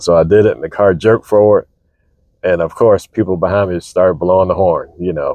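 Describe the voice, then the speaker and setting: A man talks at a fairly quick pace. His voice is quiet. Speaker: vlogger. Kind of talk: casual monologue. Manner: methodical.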